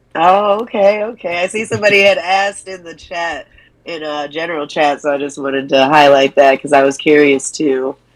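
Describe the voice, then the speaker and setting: A woman speaks at a fairly quick pace with a very deep, low pitch and ordinary pitch variation. Her loudness swings widely. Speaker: guest commentator, crypto community leader. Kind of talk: casual chat.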